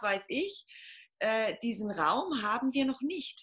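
Bright, sharp tone from a woman, fairly high in pitch. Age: 40s. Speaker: podcast guest on femininity. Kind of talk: casual interview.

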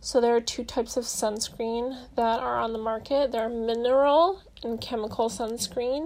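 A woman with a plain, everyday voice speaks at a fairly high pitch with fairly even intonation. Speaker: skincare expert guest. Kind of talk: informative advice.

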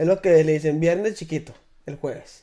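An animated tone at a fairly slow pace. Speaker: podcast host. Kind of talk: casual chat.

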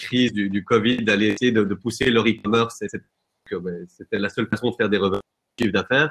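His pitch medium and his intonation fairly even, a man speaks at a moderate pace. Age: 20s. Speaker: real estate software company employee. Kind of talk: webinar panel discussion.

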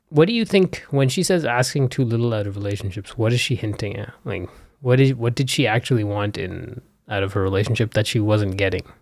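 At a fairly quick pace, a man speaks in a somewhat breathy, medium-pitched voice with ordinary pitch variation. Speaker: podcast host interviewing his wife. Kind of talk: casual chat. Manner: calmer than before.

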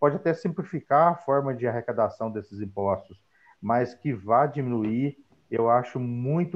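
A man speaks in an ordinary speaking voice. His pitch is medium, with ordinary variation. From Minas Gerais, Brazil. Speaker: accountant. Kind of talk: live stream panel talk.

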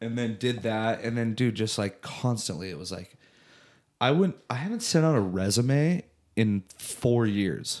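Man's medium-pitched voice with lively intonation at a fairly slow pace. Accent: Southern Californian. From Southern California (Orange County). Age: 30s. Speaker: musician and former tour manager. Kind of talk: casual chat.

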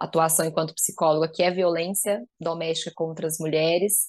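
With fairly even intonation and a fairly low pitch, a woman talks against a quiet background. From Goiás, Brazil. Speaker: psychologist. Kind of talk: podcast interview.

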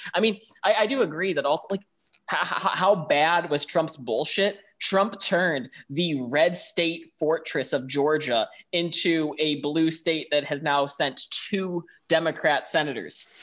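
This is an unremarkable speaking voice with an American accent. It moves at a fairly slow pace with ordinary pitch variation. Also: man, fairly high pitch for a man. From Buffalo, New York. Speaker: podcast co-host. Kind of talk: casual chat.

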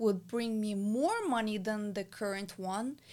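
Very slow speech from a woman, fairly high in pitch, with ordinary pitch variation. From abroad, immigrant to the US. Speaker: business owner and mentor. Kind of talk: casual interview.

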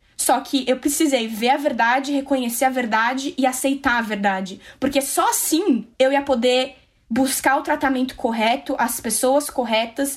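The speaker is a woman. Her pitch is high. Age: 20s. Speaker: survivor sharing her story. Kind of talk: testimony. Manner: calm.

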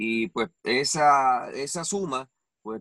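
A man's medium-pitched voice, bright and sharp in tone, with lively intonation and a dry, close sound free of echo. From Puerto Rico. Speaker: wrestling commentator. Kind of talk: interview.

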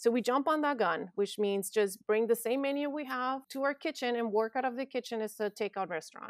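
A woman speaks at a high pitch with lively intonation, a fairly quick pace and hardly any pauses. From northern Mexico. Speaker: chef and restaurant owner. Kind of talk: interview.

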